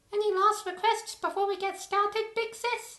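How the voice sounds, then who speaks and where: In a put-on character voice, a female-sounding speaker is squeaky and extremely high-pitched, with monotone, flat intonation. The pace is moderate. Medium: machinima. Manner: casual, flippant.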